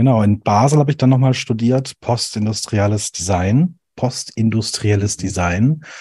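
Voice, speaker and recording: A man's somewhat breathy, dark, mellow voice at medium pitch, ordinary pitch variation, quiet background. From Swabian Alb, Germany. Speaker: animation video designer. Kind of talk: casual interview. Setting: video call.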